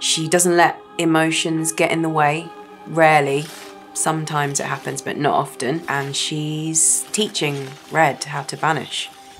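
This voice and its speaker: Over music in the background, a woman with a very deep, low pitch speaks at a fairly slow pace. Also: fairly even intonation. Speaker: voice actor. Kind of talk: interview answer.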